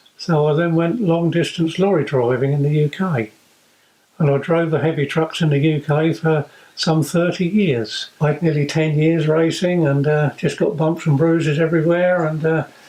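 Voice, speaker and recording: Dark and mellow in tone, a man's fairly high voice holds very even loudness and fairly even intonation at a moderate pace. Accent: East Anglian. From South Cambridgeshire, England. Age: 70s. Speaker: competitive ploughman, retired lorry driver. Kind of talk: documentary interview and narration. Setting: in a vehicle on the road. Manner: hesitant with frequent fillers.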